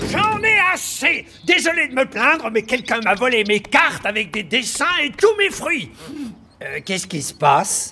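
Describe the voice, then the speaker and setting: A man's cartoonish character voice, extremely high in pitch, with very wide pitch swings at a moderate pace. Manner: dry, sarcastic, irritable.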